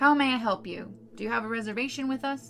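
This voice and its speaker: A put-on character voice at a fairly high pitch races along at a very fast pace over clear background noise. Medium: read story. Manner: curt.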